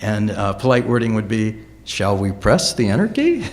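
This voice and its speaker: A man speaks at a moderate pace, with audible room echo. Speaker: education researcher. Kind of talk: conference talk.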